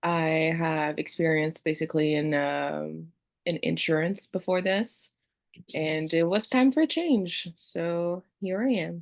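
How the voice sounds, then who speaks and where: A woman with a French accent speaks at a very slow pace in a fairly low pitch with ordinary pitch variation. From Montreal, Quebec. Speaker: new real estate agent. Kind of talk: self-introduction in class.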